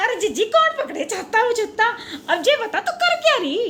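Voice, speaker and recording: Over clear background noise, a woman in a put-on character voice talks at a moderate pace, extremely high-pitched and swinging very widely in pitch. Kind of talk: comedy sketch dialogue. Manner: chattery, giggly.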